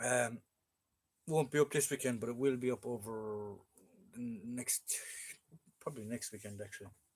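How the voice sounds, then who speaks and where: Speaking with an Irish accent, a man keeps a medium pitch and fairly even intonation. His loudness swings widely, and he leaves long, frequent pauses. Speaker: military collectibles collector and live streamer. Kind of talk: casual live-stream chat. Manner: fast.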